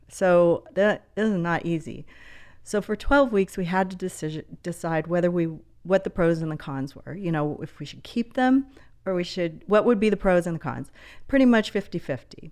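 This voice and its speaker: The speaker has an unremarkable speaking voice, with lively intonation and big swings in loudness at a moderate pace. The background is quiet. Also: woman, fairly low pitch for a woman. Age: 60s. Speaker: podcast guest, mother of triplets. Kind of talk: casual chat.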